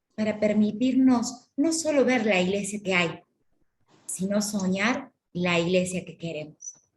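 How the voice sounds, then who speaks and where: A woman with a Córdoba Argentine accent speaks at medium pitch and a fairly slow pace, somewhat breathy, with lively intonation. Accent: Córdoba Argentine Spanish, sing-song. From Argentina, Córdoba. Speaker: course lecturer on church ministries. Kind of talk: lecture.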